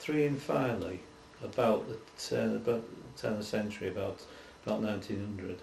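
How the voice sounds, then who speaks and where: A man with a Yorkshire accent talks in a fairly low pitch with ordinary pitch variation. His loudness swings widely, and there is noticeable background noise. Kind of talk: oral history interview answer.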